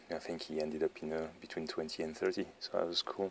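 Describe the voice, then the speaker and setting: A man with a French accent at a moderate pace, in a dry, close sound with no echo. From France. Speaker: tabletop wargaming YouTuber. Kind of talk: battle report commentary. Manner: flat, not enthusiastic; hesitant, many fillers.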